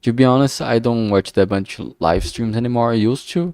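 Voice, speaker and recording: In a strong Brazilian accent, a man speaks at a moderate pace with a dry, close sound and no echo. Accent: thick Brazilian Portuguese. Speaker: streamer, indie game developer. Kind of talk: casual live stream commentary. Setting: live stream. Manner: halting, many fillers and restarts.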